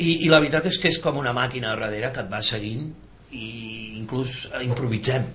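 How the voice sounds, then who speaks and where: Speaking at a fairly slow pace with ordinary pitch variation, a man is heard over noticeable background noise and audible room echo. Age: 50s. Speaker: musician. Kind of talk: casual chat.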